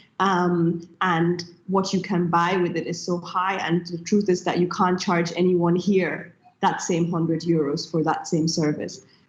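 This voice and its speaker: Against noticeable background noise, a woman speaks at a fairly low pitch and a fairly slow pace in a monotone, flat intonation. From Nigeria. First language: German. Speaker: tech entrepreneur. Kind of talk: panel discussion.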